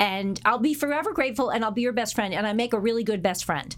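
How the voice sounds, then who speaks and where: With ordinary pitch variation, a woman speaks at a very fast pace in a fairly high pitch. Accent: US Northeastern. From Connecticut, US. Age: 50s. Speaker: real estate broker. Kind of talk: interview.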